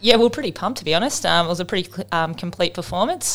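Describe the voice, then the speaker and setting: Heard on a very clean recording with a silent background, a woman with an Australian accent speaks at a fairly low pitch. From Australia, Melbourne. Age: 30s. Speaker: professional cricketer. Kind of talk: casual interview.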